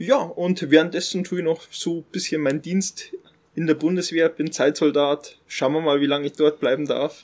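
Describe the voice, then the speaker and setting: A man with a plain, everyday voice talks at a fairly high pitch and a moderate pace, keeping his intonation fairly even. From Upper Bavaria. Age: 30s. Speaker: finance influencer and soldier. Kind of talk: casual interview. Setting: outdoors on a farm terrace. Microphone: poor sound quality.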